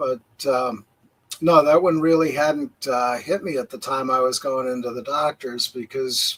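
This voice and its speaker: Using a plain, everyday voice, a man with a fairly high pitch speaks at a moderate pace with ordinary pitch variation. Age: 60s. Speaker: livestream host. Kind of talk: casual chat. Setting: livestream.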